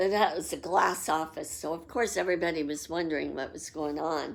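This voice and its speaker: A woman with an American accent speaks at a fairly low pitch with vocal fry. The recording is very clean, with a silent background. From Los Angeles, US. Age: 60s. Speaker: psychic. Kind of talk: personal storytelling.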